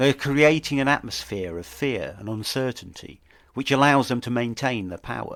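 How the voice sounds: Vocal fry marks a man's medium-pitched voice as he speaks with lively intonation.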